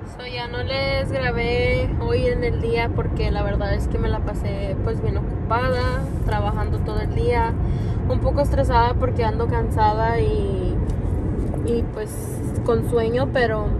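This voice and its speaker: A woman speaks at a fairly slow pace, the sound dry with no echo, amid loud background noise. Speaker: vlogger. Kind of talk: casual talk to camera. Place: car. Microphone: phone near.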